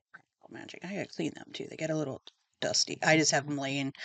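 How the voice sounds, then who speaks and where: Soft-spoken at a fairly quick pace, a woman is heard in a dry, close sound with no echo. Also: quiet background. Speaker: book video host. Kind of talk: casual chat. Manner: hesitant, many fillers.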